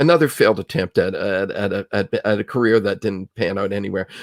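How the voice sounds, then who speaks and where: Spoken in a normal speaking voice with a Canadian accent, the delivery has a moderate pace and lively intonation, on a very clean recording with a silent background. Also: man. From Canada, Ontario (Kitchener-Waterloo area). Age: 60s. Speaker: film critic. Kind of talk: casual interview.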